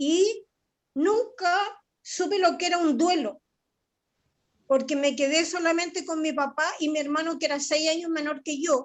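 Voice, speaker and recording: A woman at an extremely high pitch, fairly slow pace, ordinary pitch variation and long, frequent pauses. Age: 60s. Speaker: therapy client sharing experience. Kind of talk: personal testimony. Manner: halting.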